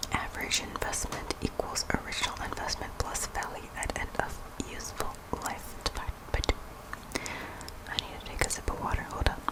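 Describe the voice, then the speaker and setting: Whispering at a fairly quick pace with long, frequent pauses, the voice comes through noticeable background noise. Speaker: ASMR creator. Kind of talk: ASMR whispered study review. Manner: whispered.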